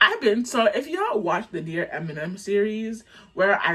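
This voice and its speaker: A woman's animated tone and lively intonation at a moderate pace, over noticeable background noise. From Canada, Jamaican family. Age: 20s. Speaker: content creator. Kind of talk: storytime vlog. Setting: dim room, on camera. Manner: animated, casual.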